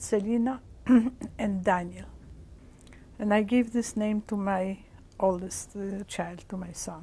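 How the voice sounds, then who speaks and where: A woman with a medium pitch speaks in a somewhat breathy voice with a dark, mellow tone. She pauses long and often. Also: fairly even intonation, fairly slow pace. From Poland, Warsaw. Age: 60s. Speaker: Holocaust survivor. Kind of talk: oral history interview. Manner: halting.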